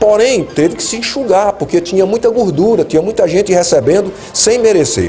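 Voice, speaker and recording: With music playing in the background, a man speaks at a fairly quick pace in a high pitch with ordinary pitch variation. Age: 60s. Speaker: retired army colonel and lawyer, political commentator. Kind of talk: interview.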